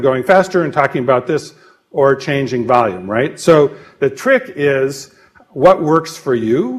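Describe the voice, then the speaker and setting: A man speaks in a normal speaking voice. His pitch is fairly high and his pace fairly slow. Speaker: presenter on communication skills. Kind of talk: lecture. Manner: lively.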